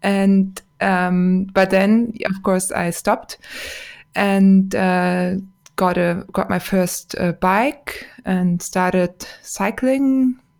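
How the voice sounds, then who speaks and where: Speaking very slowly with a German accent, a woman keeps a medium pitch and fairly even intonation. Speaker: podcaster and racing cyclist. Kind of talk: casual interview chat.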